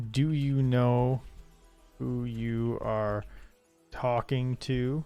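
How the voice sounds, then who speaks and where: Over faint music in the background, a man does a put-on character voice at a medium pitch, very slow and monotone, with flat intonation. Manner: menacing.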